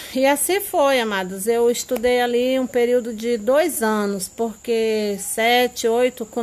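Speaking very slowly, a woman uses a fairly high pitch with ordinary variation in it. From rural Brazil. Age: 50s. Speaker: mother recalling her schooldays. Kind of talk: interview.

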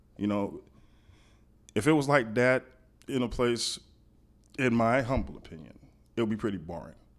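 A man at medium pitch speaks at a moderate pace with lively intonation and vocal fry, his loudness swinging widely between long, frequent pauses. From Miami, Florida (Liberty City). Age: 40s. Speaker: podcast guest. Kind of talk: casual chat.

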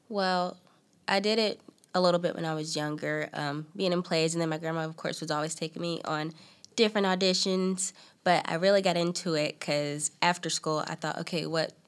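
A woman's fairly low voice with a North Carolina accent, fairly quick in pace and fairly even in intonation. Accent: Southern US (North Carolina). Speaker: aspiring actress. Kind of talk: interview.

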